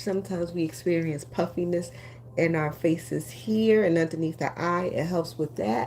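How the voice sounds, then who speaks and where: A woman speaks with a very deep, low pitch. Her pace is fairly slow. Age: 60s. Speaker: beauty influencer, lash and brow business owner. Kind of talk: live-stream beauty tutorial. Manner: casual, with frequent fillers.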